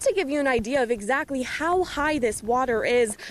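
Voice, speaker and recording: Against noticeable background noise, a woman with an American accent speaks with ordinary pitch variation. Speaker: TV news reporter. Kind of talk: field report voiceover and on-scene questioning.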